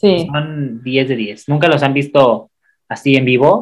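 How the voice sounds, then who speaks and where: The speaker has an ordinary speaking voice. The pace is fairly slow. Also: man. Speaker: podcast co-host. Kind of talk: casual chat.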